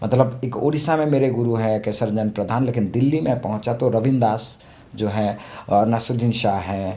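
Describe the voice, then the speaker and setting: With an Odia accent, a man speaks at a medium pitch in a dark, mellow tone, his intonation fairly even and audible room echo around him. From Odisha, India (small village). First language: Odia (speaking Hindi). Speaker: theatre actor and director. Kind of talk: interview. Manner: halting, with many fillers.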